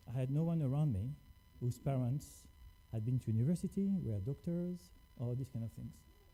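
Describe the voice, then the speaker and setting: A man with a French accent speaks at a moderate pace and medium pitch, somewhat breathy, with lively intonation. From France. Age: 40s. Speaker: scientist. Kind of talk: lecture.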